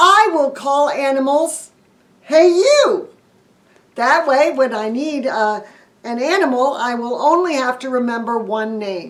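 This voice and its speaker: A woman uses a put-on character voice at a high pitch. She speaks with a raised, projected voice at a fairly slow pace. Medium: read story. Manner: loud, excitable.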